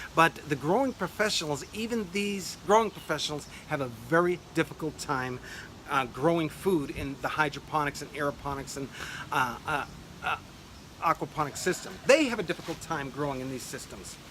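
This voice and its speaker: Through noticeable background noise, a man speaks at a fairly high pitch with lively intonation. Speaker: urban farming grower and channel host. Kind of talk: video monologue. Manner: fast.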